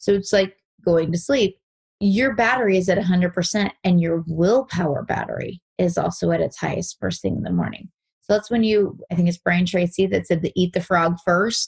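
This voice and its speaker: A woman's somewhat breathy, fairly low voice at a moderate pace with ordinary pitch variation, in a dry, close sound with no echo. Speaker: real estate agent. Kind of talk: interview.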